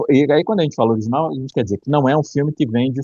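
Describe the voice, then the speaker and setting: A man's dark, mellow tone comes through dry and close with no echo, showing ordinary pitch variation. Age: 50s. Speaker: film critic. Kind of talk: casual chat.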